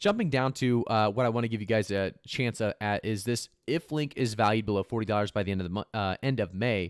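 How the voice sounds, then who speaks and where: On a very clean recording with a silent background and a dry, close sound with no echo, a man speaks. His intonation is fairly even, at a fairly quick pace. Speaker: crypto YouTuber. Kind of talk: casual market commentary video. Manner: fast; filler-heavy, stumbling.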